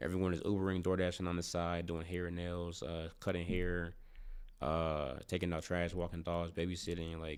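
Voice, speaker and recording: Moderate-paced speech from a man with an American accent and a very deep, low pitch. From St. Louis, US Midwest. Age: 20s. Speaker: podcast host. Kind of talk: casual chat. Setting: studio. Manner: animated.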